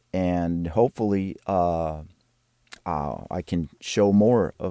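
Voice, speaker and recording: A man with a very deep, low pitch and a dark, mellow tone speaks very slowly with fairly even intonation, in a dry, close sound with no echo on a very clean recording with a silent background. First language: Spanish. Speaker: composer. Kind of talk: video walkthrough of own work. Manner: halting, with many fillers and repetitions.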